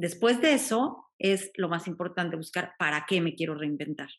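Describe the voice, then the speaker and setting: A woman talks at a moderate pace in a plain, everyday voice, with ordinary pitch variation and a quiet background. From Mexico. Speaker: life coach. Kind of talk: casual chat.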